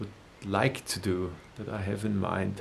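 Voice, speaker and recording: Speaking with a German accent, a man talks at a very slow pace. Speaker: musician and video creator. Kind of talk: personal announcement to viewers. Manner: halting, many hesitations and repetitions.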